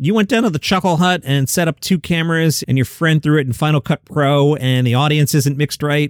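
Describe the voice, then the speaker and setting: This man has an ordinary speaking voice, fairly high in pitch, with lively intonation and a fairly quick pace. The recording is very clean, with a silent background. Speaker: comedy news podcaster. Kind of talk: solo commentary. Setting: home studio.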